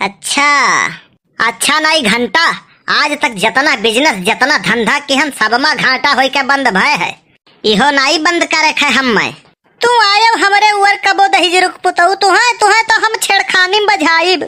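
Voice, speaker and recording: Speaking in a cartoonish character voice, a woman keeps a moderate pace and a high pitch, her pitch swinging very widely while her loudness stays very even. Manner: gruff, argumentative.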